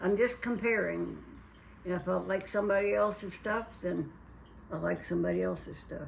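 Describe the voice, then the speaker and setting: Her speech moves at a moderate tempo. There is noticeable background noise, and audible room echo hangs around the recording. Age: 80s+. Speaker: retired mother, home cook. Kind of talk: casual interview.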